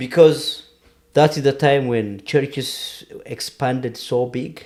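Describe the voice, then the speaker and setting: A man with an Ethiopian accent and ordinary pitch variation. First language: Amharic. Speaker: podcast guest discussing history. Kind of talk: casual conversation. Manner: halting.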